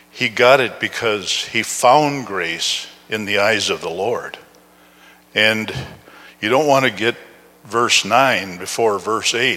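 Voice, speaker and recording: An American accent at a very slow pace, ordinary pitch variation, noticeable background noise. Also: man. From Upper Peninsula of Michigan, US. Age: 70s. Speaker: guest preacher. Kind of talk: sermon. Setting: church.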